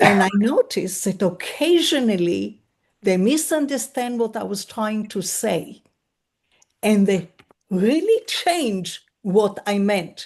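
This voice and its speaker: A woman speaks at a very slow pace with a non-native accent. Her voice is somewhat breathy and fairly high, with lively intonation. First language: not English. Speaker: webinar attendee. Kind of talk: audience question.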